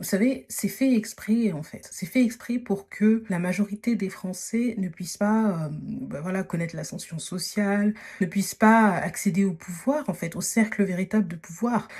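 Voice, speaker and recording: Somewhat breathy, a woman speaks at a fairly slow pace in a medium pitch, with ordinary pitch variation and hardly any pauses. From Paris region, France. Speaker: podcast host, dating and social advice. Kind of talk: casual advice monologue. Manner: hesitant, many fillers (euh, voilà).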